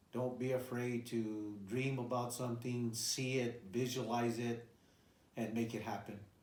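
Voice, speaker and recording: A man speaks at a medium pitch with fairly even intonation. Audible room echo and noticeable background noise come through. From New Mexico, Albuquerque. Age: 60s. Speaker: retired veteran and bull breeder. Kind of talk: personal life-story interview. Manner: hesitant, many fillers and repeats.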